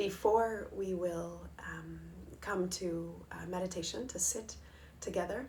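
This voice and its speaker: Audible room echo surrounds a woman speaking in a calm, gentle tone. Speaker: Ayurveda and meditation teacher. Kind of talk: live-streamed wellness talk. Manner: calm, gentle, with frequent fillers.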